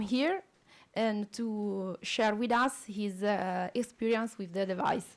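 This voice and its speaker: Ordinary pitch variation and a fairly slow pace mark this voice with an Italian accent. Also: woman. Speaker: respiratory physiotherapist. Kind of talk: conference presentation. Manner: halting.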